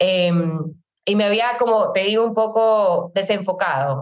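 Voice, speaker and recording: The speaker is a woman. She talks with lively intonation. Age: 30s. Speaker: network marketing entrepreneur. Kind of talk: testimony.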